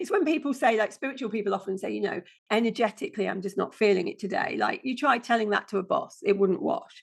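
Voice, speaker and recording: This woman speaks very fast with a British accent. Her fairly high pitch swings very widely. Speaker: passive income strategist. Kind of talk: podcast interview.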